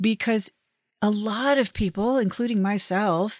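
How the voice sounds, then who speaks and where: In a very clean recording with a silent background and a dry, close sound with no echo, a woman uses a normal speaking voice at medium pitch and a fairly slow pace. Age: 50s. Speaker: podcast host. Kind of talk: solo monologue.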